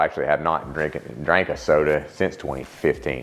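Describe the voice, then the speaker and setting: A man talks with a Louisiana accent over noticeable background noise. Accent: southern US (Louisiana). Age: 40s. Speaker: CrossFit masters athlete. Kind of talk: personal testimony, interview. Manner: halting, many fillers and restarts.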